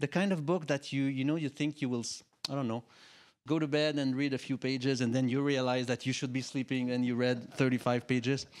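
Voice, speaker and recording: Speaking with a French accent, a man keeps a moderate pace at a fairly high pitch. The recording is very clean, with a silent background. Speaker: panel moderator. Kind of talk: panel discussion moderation. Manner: halting, many fillers.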